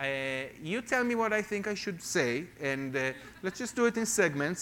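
Over noticeable background noise, a man with an Israeli accent speaks at a moderate pace with lively intonation. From Israel, Jerusalem. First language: Hebrew. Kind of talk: testimony sermon. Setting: church with congregation.

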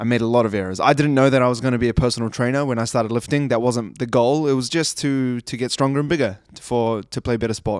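A man talks at a very fast pace with hardly any pauses, in a medium pitch and fairly even intonation. The recording is very clean, with a silent background. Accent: New Zealand. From New Zealand, Christchurch. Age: 20s. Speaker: personal trainer. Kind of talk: solo podcast monologue. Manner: casual, conversational.

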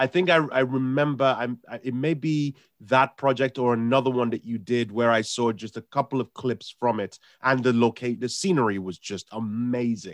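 A man with a medium pitch speaks at a moderate pace with ordinary pitch variation, the sound dry and close with no echo. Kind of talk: radio show banter with co-hosts and guests. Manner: chatty, animated, self-deprecating, stumbling over words.

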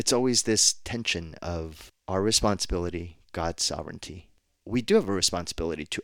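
A man with a very deep, low voice and an American accent speaks at a moderate pace with ordinary pitch variation. The recording is very clean, with a silent background. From New Jersey.

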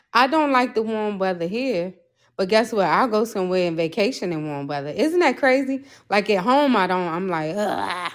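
An unremarkable speaking voice with an American accent carries lively intonation. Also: woman, medium pitch for a woman, moderate pace. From Maryland, near Washington DC. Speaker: podcaster. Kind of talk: testimony. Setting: remote call.

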